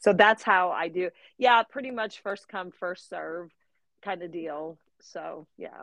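A woman with an ordinary speaking voice, medium pitch and ordinary pitch variation, at a fairly slow pace, with big swings in loudness and a dry, close sound with no echo. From Missouri, US Midwest. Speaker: home daycare owner. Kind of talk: casual interview chat.

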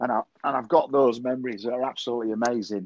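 A man with a Yorkshire accent talks at a fairly quick pace in a medium pitch, and the sound is dry and close with no echo. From northern England, Yorkshire (Selby). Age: 50s. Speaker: social media marketer, musician. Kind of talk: casual interview chat.

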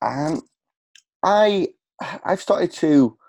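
Dark, mellow male speech over a quiet background. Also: dry, close sound with no echo. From England, working-class city. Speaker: podcast host and coach. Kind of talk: interview.

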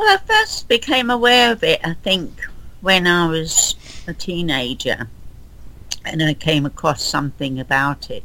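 A woman speaks in a London accent. Her pace is fairly slow. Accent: common London, Southern English. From London, England. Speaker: guest, Titanic enthusiast. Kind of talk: casual interview.

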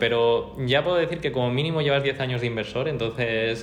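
A man at a very fast pace and medium pitch, with ordinary pitch variation, audible room echo and noticeable background noise. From Mallorca, Spain. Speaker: podcast co-host. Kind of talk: casual chat.

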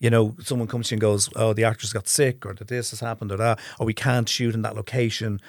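Speaking very fast with hardly any pauses, a man with an Irish accent and medium pitch keeps a monotone, flat intonation while his loudness swings widely, all in a very clean recording with a silent background. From Ireland. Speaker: film director. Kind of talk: casual chat.

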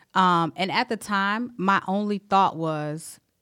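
In a very clean recording with a silent background, a woman speaks in a plain, everyday voice at medium pitch with ordinary pitch variation. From South Carolina. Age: 30s. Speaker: Navy veteran and HR manager. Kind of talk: casual interview, personal health testimony.

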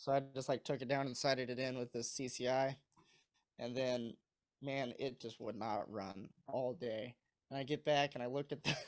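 With a plain, everyday voice, a man of medium pitch speaks at a moderate pace and keeps his intonation fairly even. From Missouri. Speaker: college sport shooter. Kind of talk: casual interview.

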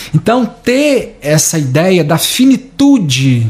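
A man with a Brazilian accent speaks at a high pitch with very wide pitch swings. Noticeable background noise sits behind him. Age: 30s. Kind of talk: reflective monologue.

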